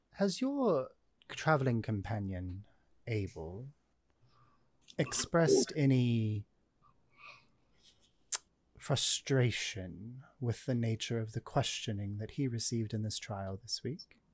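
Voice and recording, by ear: A man's put-on character voice at a medium pitch, slow, with big pitch swings and long, frequent pauses.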